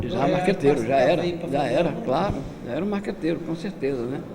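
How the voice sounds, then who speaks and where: The speaker is a man with a fairly high pitch. Noticeable background noise can be heard. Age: 70s. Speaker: capoeira master. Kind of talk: lecture.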